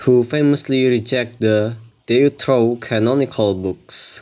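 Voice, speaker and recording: A man with a non-native accent talks at a very slow pace. The recording is very clean, with a silent background. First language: not English. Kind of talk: religious commentary talk to camera.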